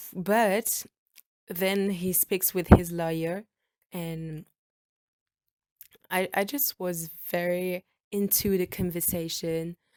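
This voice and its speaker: A woman's medium-pitched voice with a French accent, fairly even intonation, a very slow pace and long, frequent pauses, in a dry, close sound with no echo. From France. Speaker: podcaster. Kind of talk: storytelling. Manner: halting; casual.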